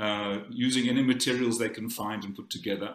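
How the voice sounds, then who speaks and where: This man has a South African accent and a medium pitch. He talks at a moderate pace. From South Africa, Cape Town. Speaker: conference speaker. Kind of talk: conference talk. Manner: halting.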